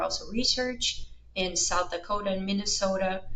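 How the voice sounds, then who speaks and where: At a moderate pace, a woman speaks in a Brazilian accent with a medium pitch and ordinary pitch variation. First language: Portuguese. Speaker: veterinary researcher. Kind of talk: interview.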